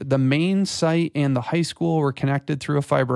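A man with an Upper Midwest accent talks at a moderate pace with ordinary pitch variation, in a dry, close sound with no echo on a very clean recording with a silent background. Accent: Upper Midwest American. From West Michigan. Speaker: church creative director. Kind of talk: casual interview.

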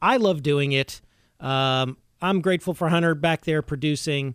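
A man with a normal speaking voice talks at a moderate pace, his fairly high pitch moving with lively intonation, in a very clean recording with a silent background and a dry, close sound with no echo. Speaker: podcast host. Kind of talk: casual chat. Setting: studio.

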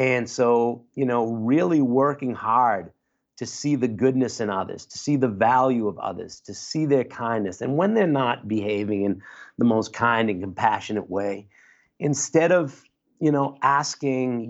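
Speaking at a fairly slow pace, a man uses a plain, everyday voice at medium pitch with ordinary pitch variation. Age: 50s. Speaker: clinical social worker. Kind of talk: interview conversation. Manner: casual.

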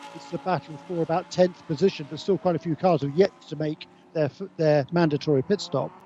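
The delivery is fairly quick with big swings in loudness, and the sound is dry and close with no echo over noticeable background noise. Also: man, fairly high pitch for a man. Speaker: race commentator. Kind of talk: live race commentary. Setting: trackside at race. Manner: fluent, energetic co-commentator analysis.

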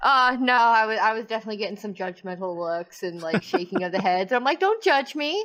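Fairly quick and lively in intonation, a woman talks. Hers is an unremarkable speaking voice. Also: fairly high pitch for a woman. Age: 30s. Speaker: podcast co-host. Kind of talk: casual chat.

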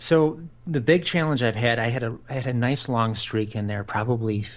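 A man speaks at a fairly quick pace. His pitch is medium, with ordinary pitch variation. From US Midwest, Chicago south suburbs. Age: 40s. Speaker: podcast co-host, amateur marathon runner. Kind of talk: casual chat.

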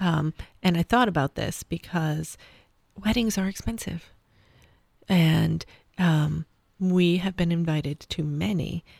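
A woman's fairly low, somewhat breathy voice, fairly slow with ordinary pitch variation and long, frequent pauses, in a dry, close sound with no echo. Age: 40s. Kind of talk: casual chat.

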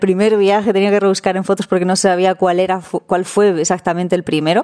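At a fairly quick pace, a woman speaks at a medium pitch in a monotone, flat intonation. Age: 30s. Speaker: van-life traveler. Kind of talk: recorded testimony.

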